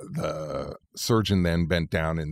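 Very slowly and with fairly even intonation, a man with a Californian accent speaks in a very deep, low voice, captured in a very clean recording with a silent background and a dry, close sound without echo. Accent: Californian American. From California, Central Valley. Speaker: lawyer. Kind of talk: interview.

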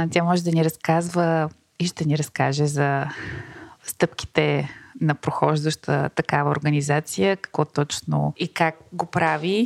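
A woman's very deep, low-pitched voice with fairly even intonation at a fairly slow pace, dry and close with no echo. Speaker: podcast host. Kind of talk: interview.

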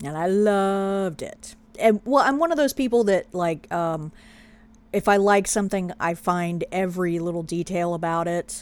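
With an American accent and a plain, everyday voice, a woman speaks at a moderate pace, medium in pitch, with ordinary pitch variation. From Pennsylvania. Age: 40s. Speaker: podcast co-host. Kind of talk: casual chat.

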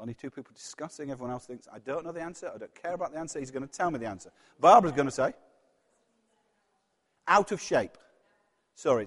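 This voice has a Yorkshire accent and lively intonation, moving at a very fast pace. Loudness swings a lot, and long pauses come often. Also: man, fairly high pitch for a man. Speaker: preacher giving a sermon. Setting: church service, speaking to a congregation. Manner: conversational, engages the audience with questions.

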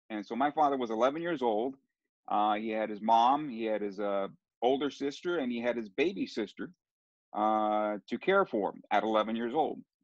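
A man with a Californian accent speaks with ordinary pitch variation. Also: medium pitch for a man, moderate pace. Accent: Californian American. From US West Coast, San Diego. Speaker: soccer play-by-play announcer. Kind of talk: casual interview. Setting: video call.

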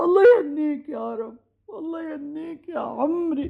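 In a put-on character voice, a woman speaks at a fairly slow pace, high in pitch and with vocal fry.

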